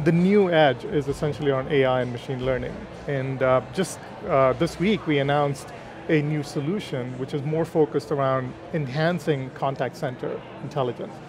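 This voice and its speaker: Noticeable background noise sits behind a man speaking at a moderate pace. His pitch is fairly high, and his intonation fairly even. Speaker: consulting executive. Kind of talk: interview. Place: hall. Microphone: headset.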